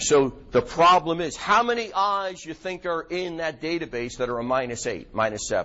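Lively intonation marks a man speaking at a moderate pace in a New York accent. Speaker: optometrist lecturer. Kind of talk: lecture to a live audience. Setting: lecture hall with audience. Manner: informal, filler-heavy, conversational.

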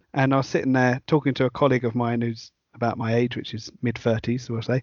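The speaker is a man with a British accent. He talks at a fairly quick pace. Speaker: podcast host. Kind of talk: casual interview chat.

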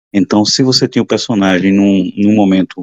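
A man talks in a normal speaking voice at a fairly low pitch. The pace is moderate and the sound is dry and close with no echo. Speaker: comic book podcast co-host. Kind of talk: casual chat.

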